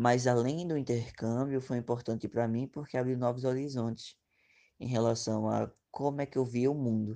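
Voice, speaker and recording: A man's dark, mellow voice at medium pitch, with fairly even intonation and a quiet background. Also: moderate pace. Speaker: former exchange student. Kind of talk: interview.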